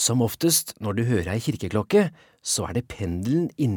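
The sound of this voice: This unforced reading voice carries lively intonation.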